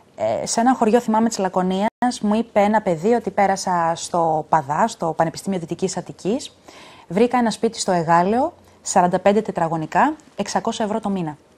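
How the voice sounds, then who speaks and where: Fairly quick in pace, an ordinary speaking voice carries ordinary pitch variation. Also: woman. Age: 30s. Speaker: politician. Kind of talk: TV interview. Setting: studio.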